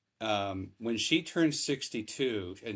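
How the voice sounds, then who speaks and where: Against a quiet background, a man uses an ordinary speaking voice at a fairly low pitch with ordinary pitch variation. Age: 60s. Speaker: financial advisor, podcast co-host. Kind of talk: casual chat.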